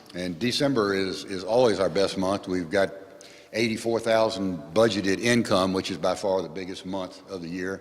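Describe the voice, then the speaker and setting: Speaking at a moderate pace, a man uses a very deep, low voice with fairly even intonation. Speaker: church treasurer. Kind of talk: financial report at meeting. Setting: parish meeting with audience.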